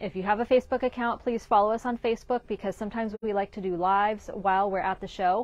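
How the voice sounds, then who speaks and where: A woman speaks with fairly even intonation in a dry sound with no echo. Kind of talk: casual shop update talk. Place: shop. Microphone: lapel.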